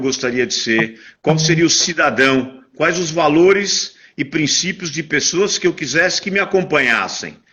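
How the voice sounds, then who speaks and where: A man talks at a moderate pace with a fairly high pitch. His voice shows ordinary pitch variation. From Brazil, São Paulo. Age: 60s. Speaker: interview guest, networking speaker. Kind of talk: interview, life story. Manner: halting, many fillers and repetitions.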